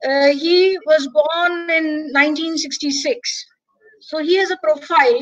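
In an Indian accent, a woman speaks at a high pitch with fairly even intonation against a quiet background. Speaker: English professor and webinar organizer; English professor. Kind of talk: webinar hosting. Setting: video call. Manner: formal. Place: home room. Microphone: webcam.

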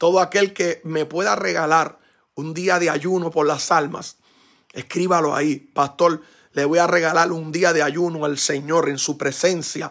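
Against a quiet background, a man with a fairly high pitch speaks at a fairly slow pace with fairly even intonation. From Puerto Rico. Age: 40s. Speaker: pastor. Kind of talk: sermon. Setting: church. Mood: grateful, fervent, emotional. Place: home room. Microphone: phone near.

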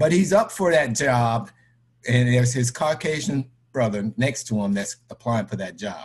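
A man speaks with lively intonation at a moderate pace. His voice is somewhat breathy. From Florida (Tampa/St. Petersburg), born New York City. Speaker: credit union board member; interviewee. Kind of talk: personal testimony in online discussion. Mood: earnest, serious. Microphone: webcam.

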